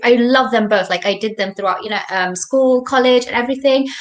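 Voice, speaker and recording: Here a woman speaks with a fairly high pitch. Her pitch varies in an ordinary way. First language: not English. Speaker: university student. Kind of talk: casual chat.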